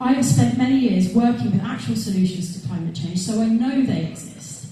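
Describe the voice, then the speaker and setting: Using very wide pitch swings at a medium pitch, a woman with a London accent speaks at a moderate pace amid noticeable background noise and audible room echo. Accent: southern English (London). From London, Wimbledon. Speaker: election candidate. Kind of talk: campaign speech. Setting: stage with audience.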